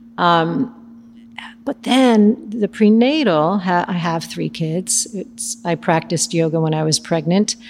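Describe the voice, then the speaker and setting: Her intonation lively and her pitch fairly low, a woman speaks at a fairly slow pace. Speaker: prenatal yoga teacher. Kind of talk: casual interview. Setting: studio.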